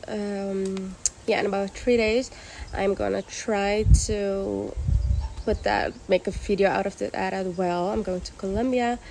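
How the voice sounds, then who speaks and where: Against noticeable background noise, a woman talks at a moderate pace with medium pitch and fairly even intonation. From Curaçao. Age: 20s. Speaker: vlogger. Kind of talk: casual vlog introduction.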